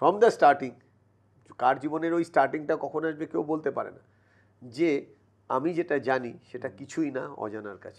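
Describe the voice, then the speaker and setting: A man with a fairly high pitch speaks with ordinary pitch variation and big swings in loudness over a quiet background. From West Bengal, Kanchrapara; West Bengal. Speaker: mental toughness trainer; podcast guest, mental toughness trainer. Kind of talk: motivational interview. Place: studio. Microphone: lapel.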